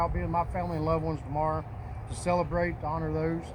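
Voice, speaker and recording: Audible room echo surrounds the recording. A man speaks at a very fast pace. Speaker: Marine veteran, memorial speaker. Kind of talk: memorial speech. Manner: loud; halting, many fillers.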